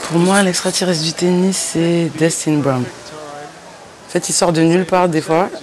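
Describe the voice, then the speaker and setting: A woman's fairly low voice at a fairly slow pace with hardly any pauses, very even loudness and fairly even intonation, over noticeable background noise. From Lyon area, France. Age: 20s. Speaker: rapper. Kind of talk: interview. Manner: casual, filler-heavy.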